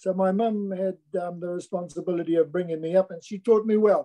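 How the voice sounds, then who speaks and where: A man's high-pitched voice with a dark, mellow tone, dry and close with no echo. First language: Niuean. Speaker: musician and activist. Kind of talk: interview. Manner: hesitant, with frequent um fillers.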